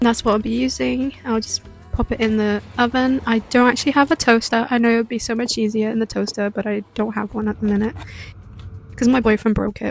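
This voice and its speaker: Music plays in the background while a woman with a British accent speaks fairly quickly at a fairly high pitch in a monotone, flat intonation. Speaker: cooking vlogger. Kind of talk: cooking vlog voiceover. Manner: casual, hesitant with fillers.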